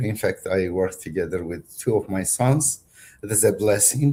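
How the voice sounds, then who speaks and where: A man with a strong Turkish accent, fairly low-pitched and somewhat breathy, in a dark, mellow tone at a fairly slow pace with ordinary pitch variation. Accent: heavy Turkish. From Turkey, Kurdish family. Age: 60s. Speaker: author and philosopher. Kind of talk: interview. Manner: halting.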